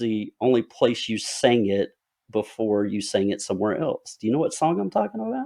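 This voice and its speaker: A man with a strong Southern US accent talks at a fairly quick pace, his medium-pitched voice dark and mellow in tone. His pitch varies in an ordinary way against a quiet background. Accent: heavy Southern twang. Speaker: podcast host and author. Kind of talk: casual interview.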